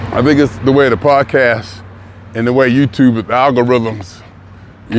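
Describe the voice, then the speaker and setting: A man talks at a fairly slow pace. Noticeable background noise can be heard. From US city he lives in. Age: 60s. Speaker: vlogger. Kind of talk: casual monologue. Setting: outdoors, walking in the city.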